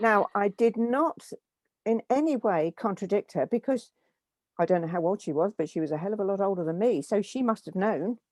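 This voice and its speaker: A woman with an English accent speaks at a medium pitch with lively intonation. The sound is dry and close with no echo, in a very clean recording with a silent background. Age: 70s. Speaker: guest sharing life story. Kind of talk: interview. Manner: hesitant, with repeated words.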